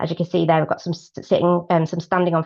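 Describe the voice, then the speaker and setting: A woman with a British accent talks at a fairly quick pace. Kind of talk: webinar talk. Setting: online webinar. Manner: fast; hesitant, many fillers.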